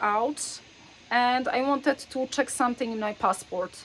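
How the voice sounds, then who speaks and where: A woman with a high pitch and ordinary pitch variation talks fairly slowly. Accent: non-native. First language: Polish. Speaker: faith storyteller. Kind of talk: personal storytelling. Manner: hesitant, frequent filler words.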